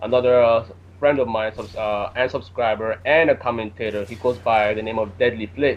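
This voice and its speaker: Lively intonation runs through the man's speech, delivered at a moderate pace. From Jamaica. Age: 20s. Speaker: gaming commentator. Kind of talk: casual chat.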